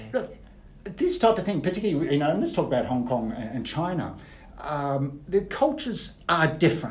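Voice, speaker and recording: Audible room echo surrounds a man with an Australian accent and a high voice. He talks at a moderate pace with very wide pitch swings. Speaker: business coach, former banker. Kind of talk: podcast interview.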